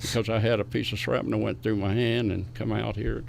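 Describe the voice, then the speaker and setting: With audible room echo, a man speaks in an Appalachian accent at a moderate pace and fairly low pitch. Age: 90s. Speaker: war veteran. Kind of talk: interview, recounting war memories.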